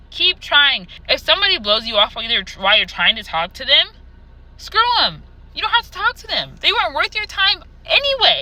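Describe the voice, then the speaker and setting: The voice is raised and projected, moving at a fairly quick pace. Pitch swings very widely and loudness shifts a lot. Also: woman, extremely high pitch for a woman. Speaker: vlogger. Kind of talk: casual monologue to camera. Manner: fast.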